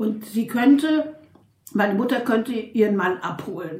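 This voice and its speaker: Against noticeable background noise, a woman talks at a fairly slow pace with lively intonation and a fairly high pitch. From Berlin (Charlottenburg). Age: 80s+. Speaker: interviewee telling her life story. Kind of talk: personal life story interview. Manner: halting.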